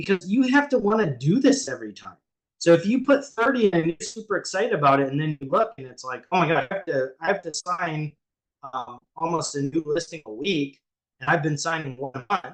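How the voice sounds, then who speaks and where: A man with high pitch, very wide pitch swings and big swings in loudness, at a fairly quick pace. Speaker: ADHD coach for real estate agents. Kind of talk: live group coaching call. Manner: fast; filler-heavy, many ums and restarts.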